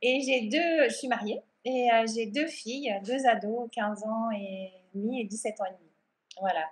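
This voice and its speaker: A woman talks at a fairly slow pace and fairly high pitch, with ordinary pitch variation and big swings in loudness. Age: 40s. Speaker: art and yoga therapist. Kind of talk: interview. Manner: calm.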